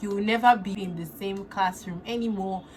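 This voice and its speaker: The speaker has a Nigerian accent. Pitch varies in an ordinary way. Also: woman. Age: 20s. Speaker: makeup artist and beauty influencer. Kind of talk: casual talk to camera.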